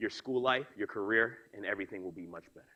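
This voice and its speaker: A man talks at a fairly quick pace in a New York accent. His tone is bright, sharp and energetic. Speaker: motivational speaker. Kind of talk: keynote speech. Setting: stage with audience. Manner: fast.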